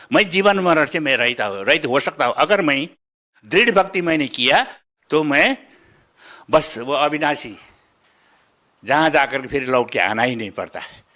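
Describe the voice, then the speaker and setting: A fairly high-pitched man with a bright, sharp tone and long, frequent pauses, on a very clean recording with a silent background. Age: 70s. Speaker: devotee giving testimony. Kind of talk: interview testimony. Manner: halting, with fillers.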